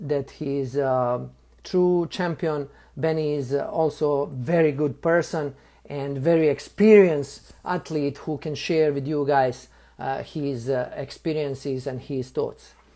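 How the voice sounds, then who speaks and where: The recording is very clean, with a silent background. The pace is very slow. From Bosnia. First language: Serbian. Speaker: live stream host, interviewer. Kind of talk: live stream introduction. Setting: live video stream. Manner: halting, many fillers.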